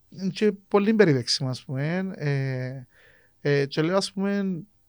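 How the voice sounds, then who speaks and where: A speaker with a Cypriot accent and lively intonation. The recording is very clean, with a silent background. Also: man. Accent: Cypriot Greek. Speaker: podcast host. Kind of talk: casual chat.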